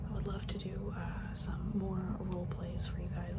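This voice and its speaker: Relaxed whispering over noticeable background noise. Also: woman. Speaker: drummer on a church worship team. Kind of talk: ASMR soft-spoken rambling to camera. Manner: soft-spoken, relaxed.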